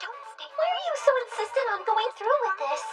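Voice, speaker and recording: Over music in the background, a woman puts on a squeaky character voice with an extremely high pitch, very wide pitch swings and a fairly quick pace. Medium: cartoon. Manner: affectionate, anxious.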